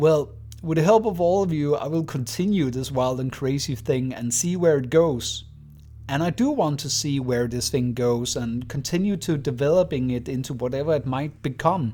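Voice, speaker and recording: Music plays in the background as a man speaks at a moderate pace. His fairly high voice shows ordinary pitch variation. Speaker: YouTube lore storyteller. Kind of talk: channel milestone address. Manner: halting.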